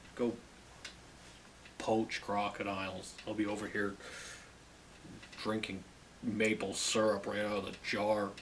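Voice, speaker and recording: A man with a Canadian accent speaks at a fairly low pitch in a monotone, flat intonation, with long, frequent pauses, audible room echo and noticeable background noise. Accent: very Canadian. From Canada. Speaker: music video host. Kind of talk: casual monologue. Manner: hesitant, repeats words.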